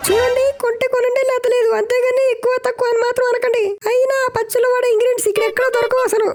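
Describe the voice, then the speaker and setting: In a cartoonish character voice, a man talks at a very fast pace and an extremely high pitch. His intonation stays monotone and flat. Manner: curt, rude.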